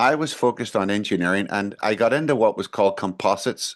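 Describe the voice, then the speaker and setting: Over a quiet background, a man with a Northern Irish accent talks very fast in a fairly low voice with ordinary pitch variation. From Northern Ireland (Belfast area). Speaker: management consultant and engineer. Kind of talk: interview answer.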